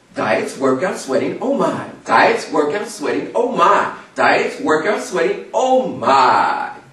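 A man's voice carries audible echo from the room, with noticeable noise in the background. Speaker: motivational speaker. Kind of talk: motivational speech.

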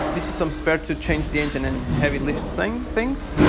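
A man's moderate pace is set against loud background noise. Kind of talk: casual vlog chat. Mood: playful, relaxed. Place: garage. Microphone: phone near.

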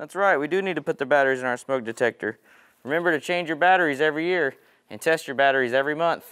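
In a bright, sharp tone, a man talks at a very fast pace with ordinary pitch variation. Behind him the background is quiet. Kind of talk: safety demonstration tutorial. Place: kitchen.

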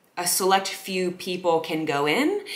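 A woman is talking. Her voice sits fairly low. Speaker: content creator. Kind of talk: casual storytelling vlog. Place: home room.

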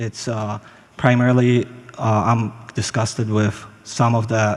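With a non-native accent, a man speaks at medium pitch in monotone, flat intonation. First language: not English. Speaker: resident at public comment. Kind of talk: public comment at council meeting. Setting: city council chamber. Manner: halting.

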